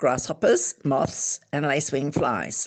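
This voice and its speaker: An Australian accent is heard here. The delivery moves at a moderate speed. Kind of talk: book reading aloud.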